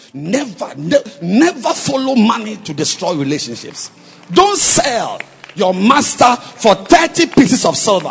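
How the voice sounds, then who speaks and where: Over noticeable background noise, a man with an extremely high voice speaks at a fairly slow pace, his animated tone swinging very widely in pitch. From Cameroon. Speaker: visiting preacher. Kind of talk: sermon. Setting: church with congregation.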